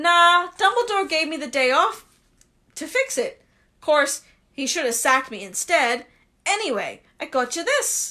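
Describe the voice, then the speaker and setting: A woman puts on a character voice, pitched extremely high with very wide pitch swings. She talks at a moderate pace with long, frequent pauses. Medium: read story. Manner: rough colloquial.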